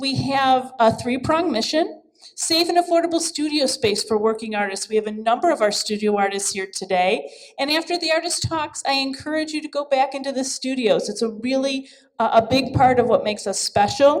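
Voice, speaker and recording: A woman's loud, high-pitched, fairly quick speech with lively intonation. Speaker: arts center director. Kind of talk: event introduction speech. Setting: gallery event with audience.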